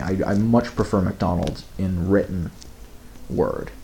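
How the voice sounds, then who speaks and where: Here a man speaks at a fairly low pitch. Noticeable background noise is present. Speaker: live streamer. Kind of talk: live stream commentary answering chat. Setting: live stream. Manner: halting, stammering.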